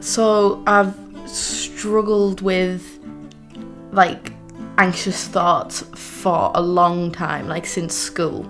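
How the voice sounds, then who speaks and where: A woman at a very slow pace with long, frequent pauses, music in the background. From Teesside, north-east England. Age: young. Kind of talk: personal documentary testimony. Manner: casual, reflective.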